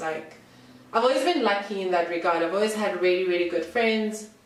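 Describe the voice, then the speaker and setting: Over noticeable background noise and audible room echo, a woman speaks in an animated tone with ordinary pitch variation. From Eswatini. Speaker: YouTuber. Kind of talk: casual Q&A vlog. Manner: loud.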